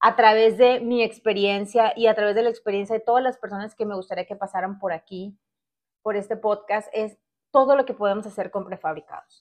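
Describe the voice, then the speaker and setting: An unremarkable speaking voice from a woman, moderate in pace, medium in pitch, with fairly even intonation. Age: 40s. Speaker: podcast host. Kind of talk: solo podcast monologue.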